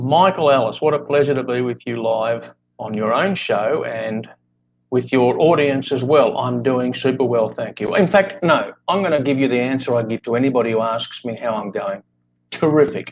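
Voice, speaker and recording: Pitched in the medium range, a man with an Australian accent talks at a moderate pace and varies his pitch in an ordinary way. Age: 60s. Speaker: life coach. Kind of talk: interview. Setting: live video podcast. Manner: talkative.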